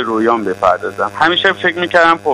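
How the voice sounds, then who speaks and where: Very fast pace from a man, with ordinary pitch variation. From Iran, Tehran. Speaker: physician and EMBA graduate giving testimonial. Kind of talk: testimony.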